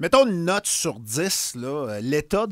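A man with a Quebec accent speaks in very wide pitch swings, the sound dry with no echo and the background quiet. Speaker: radio host. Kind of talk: casual radio interview. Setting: studio. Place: studio. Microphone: studio mic.

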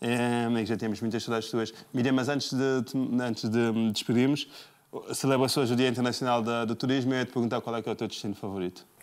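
The delivery is very fast, with monotone, flat intonation. The background is quiet. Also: man, medium pitch for a man. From São Tomé and Príncipe. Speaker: TV host. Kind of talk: TV interview; interview question. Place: studio.

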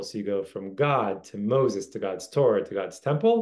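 A man talks at a moderate pace. The background is quiet. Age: 40s. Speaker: religious teacher. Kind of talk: lecture. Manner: casual with frequent fillers. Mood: warm, reflective.

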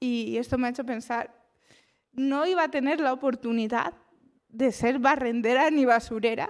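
A high-pitched woman speaks at a very slow pace with ordinary pitch variation. The background is quiet. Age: 30s. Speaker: psychologist; speaker. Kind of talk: motivational talk. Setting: stage with audience. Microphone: handheld.

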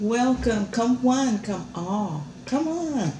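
Over noticeable background noise, a woman talks with very wide pitch swings. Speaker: food vlogger. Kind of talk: casual mukbang vlog chat. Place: home room. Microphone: camera far.

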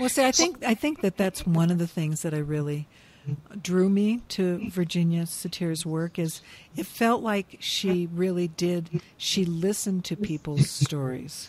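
Speaking at a fairly slow pace, a woman has a fairly low, somewhat breathy voice with ordinary pitch variation. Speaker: podcast host. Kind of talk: interview conversation. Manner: enthusiastic.

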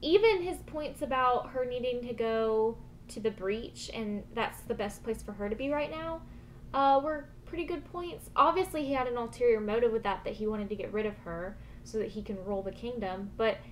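Against light background noise, a woman talks at a moderate pace. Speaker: video reviewer. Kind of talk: casual vlog chat about a show episode. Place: home room.

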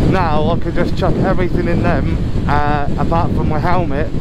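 The speech moves at a moderate pace. Loud background noise sits behind a dry sound with no echo. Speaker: motorbike commuter vlogger. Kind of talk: casual vlog chat. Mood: relaxed, chatty. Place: motorbike. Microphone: helmet.

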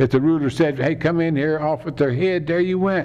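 A man with a Kentucky accent at a fairly quick pace. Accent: Kentucky Southern US. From Kentucky, Lexington. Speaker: political candidate; candidate. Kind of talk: campaign speech. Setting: theater fundraiser with audience. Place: meeting room. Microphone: podium.

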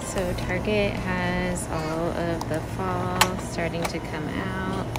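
The speaker talks at a very slow pace. Loud noise fills the background. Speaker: shopper vlogger. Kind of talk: ASMR shopping walk-through, casual talk to camera. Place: shop. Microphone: phone near.

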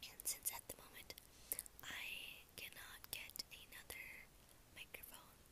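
A woman whispers at a fairly slow pace, with long pauses coming often. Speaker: ASMR creator. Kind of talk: ASMR whispered talk to camera. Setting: close microphone, home recording. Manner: whispered, soft-spoken. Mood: warm, grateful. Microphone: earbuds.

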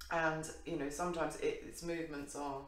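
Moderate pacing with audible room echo. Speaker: show co-host. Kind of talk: casual conversation. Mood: light, laughing. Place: home room. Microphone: camera far.

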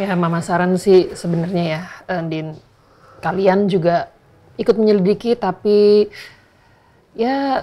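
A woman speaks in a dark, mellow tone. Light background noise can be heard. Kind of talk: scripted drama dialogue. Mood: serious, concerned. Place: home room.

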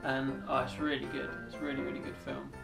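Clear music can be heard in the background. Over it, a man talks at a fairly quick pace. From England. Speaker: vlogger. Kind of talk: casual talk to camera. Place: home room. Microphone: camera far.

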